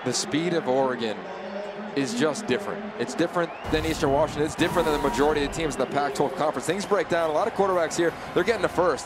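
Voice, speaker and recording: A man with a fairly high voice speaks at a very fast pace, with ordinary pitch variation and very even loudness, over noticeable background noise. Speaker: color commentator. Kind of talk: live commentary. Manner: excitable.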